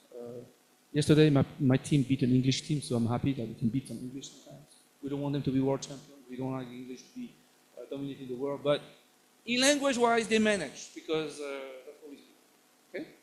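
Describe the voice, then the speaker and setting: Very fast, fairly high-pitched speech from a man, with ordinary pitch variation and big swings in loudness. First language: French. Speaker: professor. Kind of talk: lecture. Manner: halting.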